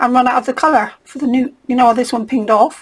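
A woman with an English accent speaks in a high pitch with fairly even intonation. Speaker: craft vlogger. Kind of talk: casual chat. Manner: slurpy noises.

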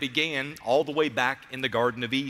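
A bright, sharp tone at a moderate pace. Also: man. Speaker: pastor. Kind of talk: sermon. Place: church. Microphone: headset.

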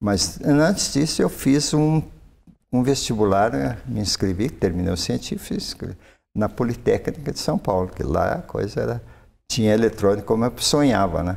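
A man's voice with vocal fry, fairly low pitch, very wide pitch swings and a moderate pace. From Minas Gerais, Triângulo Mineiro (Brazil); Minas Gerais, Brazil. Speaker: retired forestry professor; invited professor guest. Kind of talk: interview. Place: studio. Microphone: lapel.

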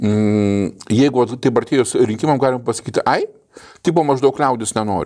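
A man with a dark, mellow tone and medium pitch speaks at a moderate pace, his pitch varying in an ordinary way and his loudness swinging widely, against a quiet background. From Lithuania. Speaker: political commentary podcast host. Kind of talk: casual political discussion. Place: studio. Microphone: lapel.

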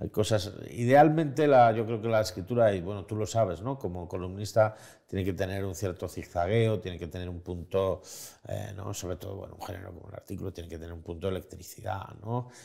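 A dark, mellow tone at a fairly quick pace, with ordinary pitch variation, big swings in loudness and a quiet background. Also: man, fairly low pitch for a man. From Spain. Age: 40s. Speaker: journalist and writer; journalist. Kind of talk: interview conversation. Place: home room.

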